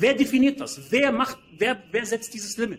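A man with an extremely high pitch speaks at a moderate pace. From Germany, Berlin. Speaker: entrepreneur and finance advisor. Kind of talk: interview.

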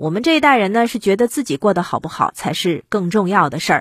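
Her fairly high voice moving in very wide pitch swings, a woman talks. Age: 40s. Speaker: podcast commentator. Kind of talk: solo commentary monologue.

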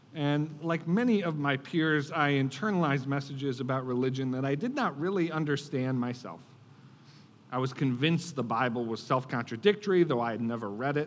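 Through audible room echo, a man with an American accent and fairly high pitch speaks at a fairly quick pace. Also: ordinary pitch variation. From Buffalo, New York, US. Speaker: political strategist and author. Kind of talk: speech to church audience. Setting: church stage with audience.

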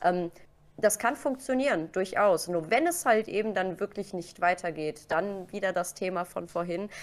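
A woman with a normal speaking voice talks at a moderate pace, her pitch medium and her pitch variation ordinary. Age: 30s. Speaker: Twitch streamer. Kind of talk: casual interview.

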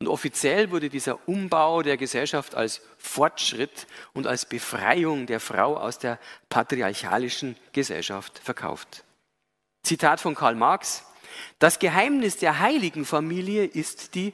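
A man's fairly high voice at a very slow pace, with very wide pitch swings, on a very clean recording with a silent background. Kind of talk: lecture.

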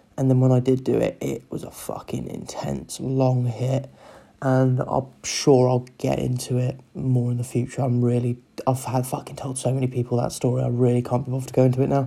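Soft-spoken and fairly quick, the voice comes with a Cornish accent. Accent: Cornish English, regained after time away. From Cornwall, England. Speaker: solo podcaster practising talking. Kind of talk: casual solo chat, swearing. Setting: home, kids sleeping upstairs. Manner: soft, kept quiet.

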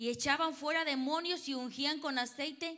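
In a raised, projected voice, a woman speaks at a fairly slow pace with a high pitch and a bright, sharp tone. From Mexico. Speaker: preacher. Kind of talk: sermon with live interpretation.

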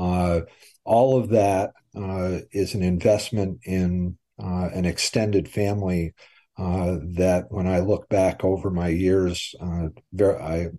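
A man's very deep, low voice with a dark, mellow tone, fairly even intonation and a fairly slow pace, against a quiet background. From Vermont, Brattleboro. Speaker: high school basketball coach and athletic director. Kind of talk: interview. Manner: halting.

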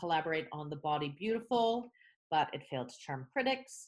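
This woman has a very deep, low pitch and lively intonation, speaking with a Canadian accent. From Canada. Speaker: theatre director, podcast co-host. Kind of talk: casual chat. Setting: remote recording.

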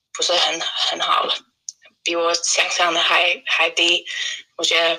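In an English accent, a woman talks at a moderate pace. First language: English (speaking Chinese). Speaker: English teacher and traveller. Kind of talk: casual interview. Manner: halting, with repeated words and fillers.

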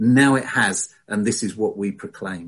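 A man is speaking. His voice is somewhat breathy. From England, lived in southwest eight years. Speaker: church service leader. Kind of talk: church service leading, sermon. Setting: online church service over video call.

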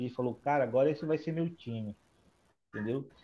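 A man speaks at a fairly quick pace with a fairly high pitch. His pitch variation is ordinary. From Manaus, northern Brazil. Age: 20s. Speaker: football fan guest. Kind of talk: casual chat.

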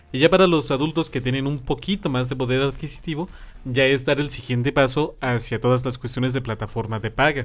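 Music plays in the background as a man with a Mexican accent speaks. His medium-pitched voice moves at a fairly quick pace. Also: ordinary pitch variation. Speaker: podcast co-host. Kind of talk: casual chat. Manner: animated.

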